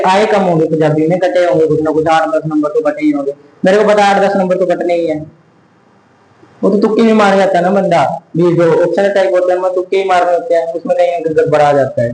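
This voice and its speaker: Amid noticeable background noise and audible room echo, a man with a high pitch speaks at a moderate pace, his loudness very even and his pitch varying in an ordinary way. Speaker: tutor. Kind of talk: lecture. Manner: casual, conversational.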